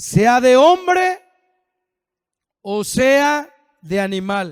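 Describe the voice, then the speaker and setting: A man's extremely high voice at a very slow pace, with very wide pitch swings. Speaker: pastor. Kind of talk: sermon.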